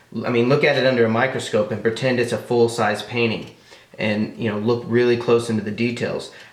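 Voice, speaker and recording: The clip carries audible room echo along with noticeable background noise. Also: man. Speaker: airbrush artist. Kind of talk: tutorial. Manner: fast; casual, hesitant fillers.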